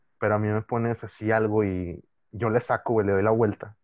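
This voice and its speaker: With a Mexican accent, a man speaks at a fairly low pitch in a monotone, flat intonation. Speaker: podcast co-host. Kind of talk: casual chat.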